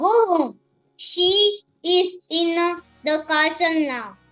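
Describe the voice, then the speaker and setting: Faint music plays in the background as a put-on character voice delivers its lines at a very slow pace. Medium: stage play.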